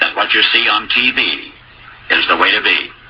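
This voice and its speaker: Noticeable background noise behind a man with an American accent. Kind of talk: spoken essay, radio commentary.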